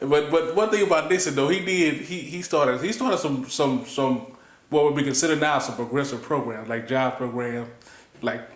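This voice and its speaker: There is noticeable background noise. A man with an American accent speaks at a fairly quick pace. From St. Louis, Missouri. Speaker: electrician and labor activist. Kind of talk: oral history interview answer.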